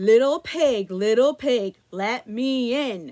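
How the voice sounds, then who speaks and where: In a put-on character voice, a woman talks very slowly at a fairly high pitch. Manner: growling.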